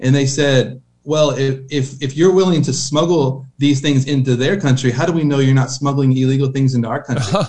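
A man with an ordinary speaking voice, fairly high in pitch, with fairly even intonation, a fairly quick pace and hardly any pauses. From Oklahoma. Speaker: missionary. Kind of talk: interview.

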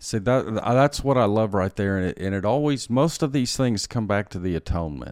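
In a normal speaking voice with an American accent, a man talks fairly quickly with hardly any pauses. His pitch is fairly low and his intonation lively, in a very clean recording with a silent background. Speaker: pastor. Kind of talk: theological interview discussion. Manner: formal, teaching.

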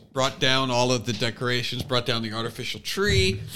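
A man's medium-pitched voice is heard with noticeable background noise. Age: 50s. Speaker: comedian and podcast host. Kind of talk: casual chat.

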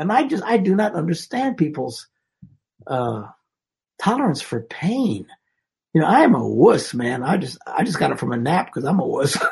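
A man with a Midwestern US accent speaks at a moderate pace in a high pitch with very wide pitch swings. He leaves long, frequent pauses. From Wisconsin. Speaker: marriage and relationship speaker. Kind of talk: casual conversation. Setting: video call.

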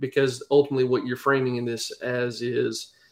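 The speaker is a man. He has a Southern US accent. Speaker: pastor. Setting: video call.

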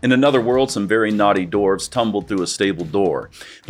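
With ordinary pitch variation, the text is read aloud in a natural voice.

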